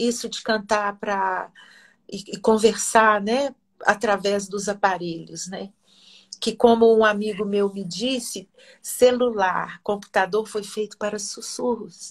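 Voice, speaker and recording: Speaking at a very slow pace, a woman keeps her intonation fairly even while her loudness swings widely. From Minas Gerais, Brazil (Oliveira). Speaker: singer and researcher. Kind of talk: interview.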